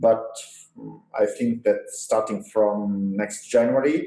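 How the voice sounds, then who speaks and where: A man with an Italian accent talks at a fairly slow pace. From Italy. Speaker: physics professor. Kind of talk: interview. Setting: historical university building.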